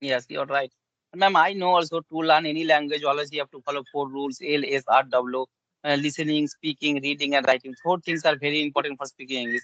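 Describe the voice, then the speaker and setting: A man speaks at a fairly high pitch. His intonation is fairly even. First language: Bengali. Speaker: English learner. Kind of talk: casual conversation practice. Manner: halting, with fillers.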